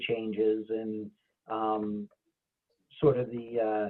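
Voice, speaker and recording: This is a man speaking. He has a New England accent. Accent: local New England. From New Hampshire, Claremont area. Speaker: occupational therapist. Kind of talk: panel talk. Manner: halting, many fillers.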